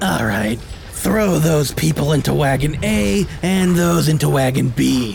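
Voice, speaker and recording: Against clear background noise, a gravelly put-on character voice moves at a fairly slow pace with low-to-middle pitch. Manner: commanding.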